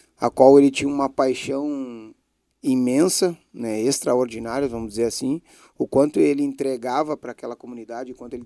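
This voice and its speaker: A man with a southern Brazilian accent has a dark, mellow tone, recorded with a dry, close sound with no echo. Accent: gaúcho Portuguese. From Brazil, Bagé, Rio Grande do Sul. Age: 40s. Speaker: former footballer, club director. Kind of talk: interview.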